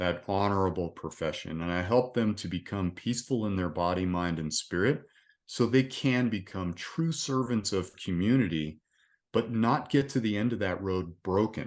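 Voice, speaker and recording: In an ordinary speaking voice, a man talks at a moderate pace with a fairly low pitch and ordinary pitch variation over a quiet background. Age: 60s. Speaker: resilience coach, retired police officer. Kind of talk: casual interview chat.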